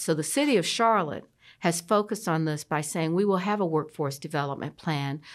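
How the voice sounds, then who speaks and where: A woman with an ordinary speaking voice and an American accent, fairly low in pitch, fairly quick and lively in intonation, on a very clean recording with a silent background. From US South, Columbia, South Carolina. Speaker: city mayor. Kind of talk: interview.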